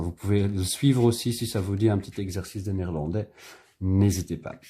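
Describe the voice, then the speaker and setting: A man with a Dutch accent speaks at a moderate pace in a relaxed tone, his very deep, low pitch carrying a dark, mellow tone. The voice is somewhat breathy with fairly even intonation, on a very clean recording with a silent background. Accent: Dutch-speaker French, self-noted imperfect. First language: Dutch (speaking French). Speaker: illustrator leading drawing workshop. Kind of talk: tutorial. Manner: casual, relaxed.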